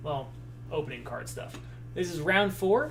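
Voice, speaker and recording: A man's voice with audible room echo. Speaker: sports card box breaker. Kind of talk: live stream chat. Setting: live stream. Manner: speaking low, less animated than usual; halting, many fillers and repeats.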